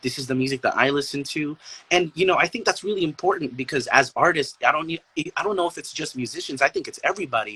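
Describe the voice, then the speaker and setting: A man's fairly high voice at a very fast pace, with ordinary pitch variation and a dry, close sound with no echo. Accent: slight Filipino. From Philippines, Zamboanga, Mindanao. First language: Chabacano. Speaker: artist, musician and poet. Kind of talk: casual chat.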